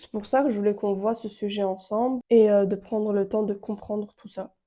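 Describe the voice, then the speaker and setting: Her loudness swings widely as a woman talks at a fairly quick pace and medium pitch. Her tone is dark and mellow, and her intonation is monotone and flat. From Romania. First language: Romanian (speaking French). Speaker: relationship and wellbeing content creator. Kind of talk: casual advice monologue. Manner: hesitant, with fillers.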